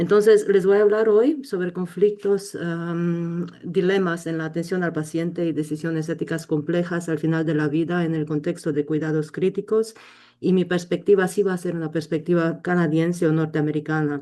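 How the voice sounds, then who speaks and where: Against a quiet background, a woman talks in a fairly low pitch with a dark, mellow tone. Her pace is moderate and her intonation fairly even. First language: not Spanish (learned in Colombia) (speaking Spanish). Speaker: intensive care physician and bioethics educator. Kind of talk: webinar lecture. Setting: online webinar. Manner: hesitant, many fillers.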